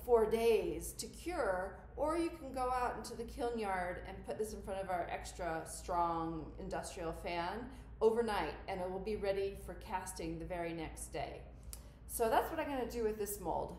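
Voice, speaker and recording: Light background noise and audible room echo around a woman's moderately paced speech. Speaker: ceramics instructor. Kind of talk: tutorial. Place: workshop. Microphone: phone near.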